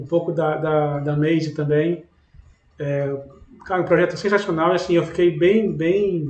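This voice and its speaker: Delivered at a moderate pace with a Brazilian accent, the speech has fairly even intonation. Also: man. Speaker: podcast host. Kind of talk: podcast interview.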